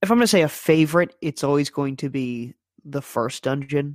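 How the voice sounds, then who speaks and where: A man with an unremarkable speaking voice, fairly high in pitch, at a moderate pace with fairly even intonation, in a dry, close sound with no echo. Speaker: video game writer. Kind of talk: casual chat.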